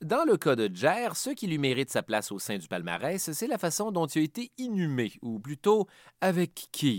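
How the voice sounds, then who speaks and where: A man with a Quebec accent at a fairly slow pace, fairly high in pitch with very wide pitch swings, on a very clean recording with a silent background and a dry, close sound with no echo. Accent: Québécois French. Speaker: history podcast host. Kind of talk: scripted narration.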